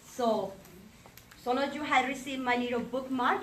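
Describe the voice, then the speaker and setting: The recording has audible room echo, and background noise comes through noticeably. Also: woman. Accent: Colombian. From Colombia. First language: Spanish. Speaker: realtor, association election candidate. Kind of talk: campaign speech. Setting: breakfast meeting with audience.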